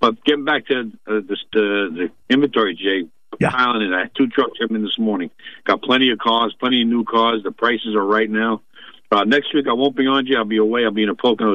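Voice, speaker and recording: A man speaks at a fairly quick pace in an ordinary speaking voice. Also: medium pitch for a man, fairly even intonation. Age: 60s. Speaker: car dealership general manager. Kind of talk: casual phone chat on radio. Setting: phone call.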